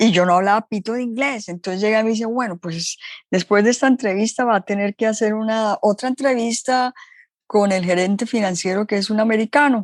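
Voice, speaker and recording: A normal speaking voice at a fairly quick pace, with ordinary pitch variation, dry, close sound with no echo, and a very clean recording over a silent background. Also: woman, fairly high pitch for a woman. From Colombia. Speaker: entrepreneur. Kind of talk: interview storytelling.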